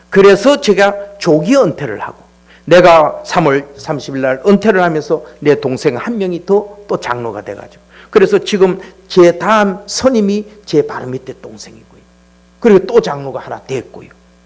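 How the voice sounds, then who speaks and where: Over noticeable background noise, a man speaks at a moderate pace in a high pitch, with lively intonation and big swings in loudness. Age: 60s. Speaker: church elder. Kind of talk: testimony. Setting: church. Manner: casual, conversational.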